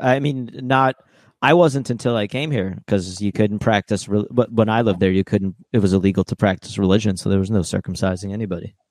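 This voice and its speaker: A normal speaking voice from a man at fairly low pitch, dry and close with no echo, in a very clean recording over a silent background. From Ukraine (Odessa), raised in US from age 7. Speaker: comedian. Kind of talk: casual chat.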